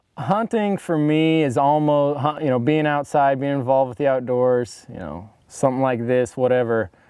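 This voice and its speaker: A man with a Midwestern US accent speaks at a moderate pace in a dark, mellow tone, his loudness swinging widely and his pitch varying normally, with hardly any pauses. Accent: US Midwest. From Northeast Kansas. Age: 20s. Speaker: hunter, outdoorsman. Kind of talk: interview testimony. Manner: halting.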